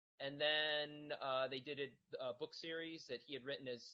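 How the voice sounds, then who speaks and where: With fairly even intonation, a man talks in a fairly high pitch. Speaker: children's author-illustrator. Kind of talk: casual panel discussion. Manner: hesitant, many fillers and repeats.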